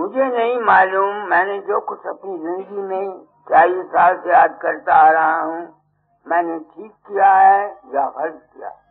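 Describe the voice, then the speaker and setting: Music plays behind a man with a high voice and ordinary pitch variation. His loudness swings widely. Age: 80s+. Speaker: spiritual teacher. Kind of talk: sermon.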